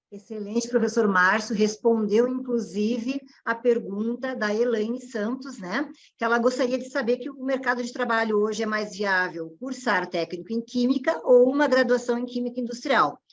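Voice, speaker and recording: A woman speaks in a fairly high pitch with a Rio Grande do Sul accent. She barely pauses at all. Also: ordinary pitch variation, moderate pace. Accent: gaúcho. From southern Brazil (Rio Grande do Sul). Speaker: panel moderator. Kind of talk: online panel moderation. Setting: online event.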